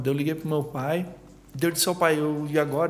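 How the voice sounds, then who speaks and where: At a fairly quick pace, a man speaks in a fairly high pitch with monotone, flat intonation. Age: 30s. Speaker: entrepreneur. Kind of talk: casual chat.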